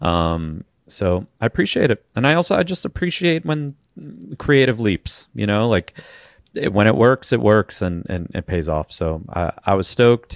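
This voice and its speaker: On a very clean recording with a silent background, a man with an American accent speaks at a moderate pace, his fairly low pitch ranging in very wide swings. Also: dry, close sound with no echo. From Long Island, New York. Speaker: fellow podcaster, guest panelist. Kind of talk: casual chat.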